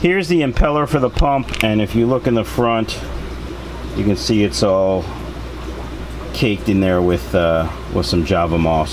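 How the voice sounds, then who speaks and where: A man whose pitch is very deep and low talks at a moderate speed while noticeable noise fills the background. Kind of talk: tutorial. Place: home room.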